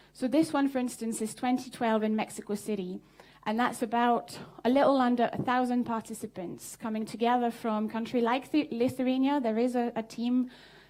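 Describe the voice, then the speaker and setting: With a French accent, a woman speaks at a fairly quick pace in a high pitch, her intonation fairly even. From southern France. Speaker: social entrepreneur. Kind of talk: conference talk. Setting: stage with audience.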